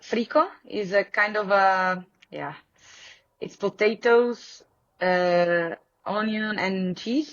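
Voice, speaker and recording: At a very slow pace, this speaker with an Italian accent uses long, frequent pauses, big swings in loudness and ordinary pitch variation. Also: woman. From Italy, Friuli near Slovenian border. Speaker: professional cyclocross racer. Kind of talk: podcast interview. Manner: halting, searching for English words.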